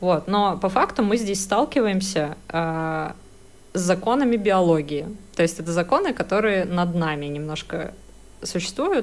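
In an unremarkable speaking voice, a woman talks at a fairly slow pace with a medium pitch. Her intonation is lively. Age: 30s. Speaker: podcast co-host, advertising professional. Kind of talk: casual chat.

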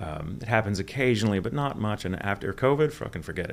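Here a man talks at a moderate pace. His pitch moves in an ordinary way. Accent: American. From Texas. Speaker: voice actor. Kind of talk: casual interview.

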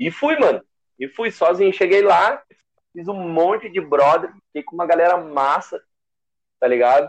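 With lively intonation and big swings in loudness, a man in a high pitch talks at a moderate pace, leaving long, frequent pauses. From southern Brazil, Gravataí. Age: 20s. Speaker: DJ. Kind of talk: casual chat.

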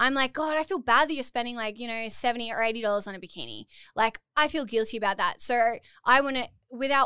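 A woman with an Australian accent speaks very fast in a bright, sharp tone at a fairly high pitch with ordinary pitch variation. The recording is very clean, with a silent background. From Port Macquarie, Australia. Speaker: bikini brand founder and influencer. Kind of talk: casual interview chat. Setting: studio. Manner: humorous, laughs often.

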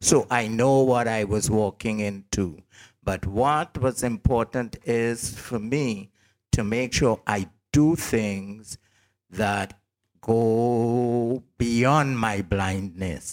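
A man speaks at a very slow pace, medium in pitch, with ordinary pitch variation. The recording is very clean, with a silent background. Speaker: radio host, blind. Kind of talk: casual chat.

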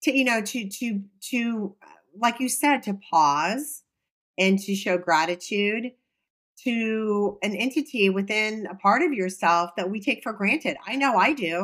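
A woman's fairly high voice, fairly slow and with lively intonation, an unremarkable speaking voice. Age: 50s. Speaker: podcast co-host. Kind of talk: casual chat.

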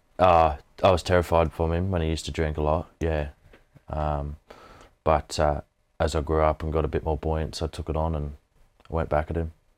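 A man with an Australian accent speaks at a very deep, low pitch, fairly quickly, with long, frequent pauses and monotone, flat intonation. The recording is very clean, with a silent background. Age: 20s. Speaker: mental health advocate, former mine worker. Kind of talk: interview testimony.

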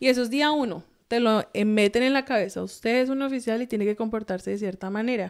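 A woman with a plain, everyday voice speaks at a fairly quick pace, her pitch fairly high with ordinary variation. The recording is very clean, with a silent background. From Colombia. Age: 30s. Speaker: US Air Force officer. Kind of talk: casual interview.

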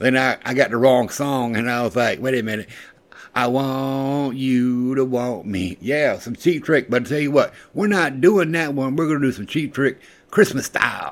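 A man talks in an animated tone at a moderate pace, his pitch medium with ordinary variation. The recording is very clean, with a silent background. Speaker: radio show host. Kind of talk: casual chat. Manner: animated, excitable.

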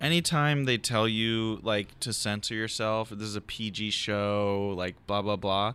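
The speaker talks at a very slow pace with an American accent. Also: man. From Philadelphia, West Philly. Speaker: comedian podcast host. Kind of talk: casual chat. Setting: garage.

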